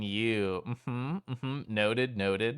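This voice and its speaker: This man shows ordinary pitch variation. The recording is very clean with a silent background, and the sound is dry and close with no echo. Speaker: streamer. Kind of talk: casual chat. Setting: live stream. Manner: animated.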